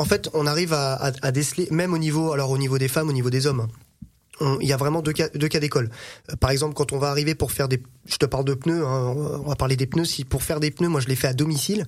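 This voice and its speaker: At a very fast pace, a man talks with fairly high pitch and fairly even intonation. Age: 30s. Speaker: car mechanic and dealer. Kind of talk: casual chat.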